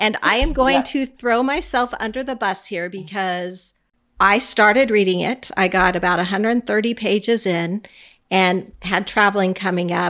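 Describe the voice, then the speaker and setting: A woman with an ordinary speaking voice talks at a fairly slow pace, her medium pitch showing ordinary variation, on a very clean recording with a silent background. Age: 50s. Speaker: podcast co-host. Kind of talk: casual chat.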